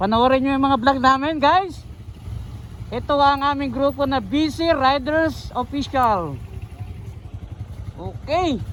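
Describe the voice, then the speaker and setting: Speech at a very slow pace with long, frequent pauses comes through over noticeable background noise. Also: man, extremely high pitch for a man, ordinary pitch variation. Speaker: vlogger. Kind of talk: casual vlog narration. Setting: outdoors on motorcycle ride. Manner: quiet, lowered voice.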